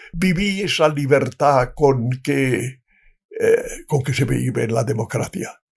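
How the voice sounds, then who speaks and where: A man's fairly high voice with vocal fry, ordinary pitch variation and a very slow pace. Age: 90s. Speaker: retired diplomat. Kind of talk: interview answer.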